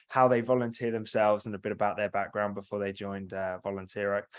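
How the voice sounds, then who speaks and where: Against a quiet background, a man with a British accent talks with fairly even intonation. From UK. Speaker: software company representative. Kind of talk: product demo presentation. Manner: fast.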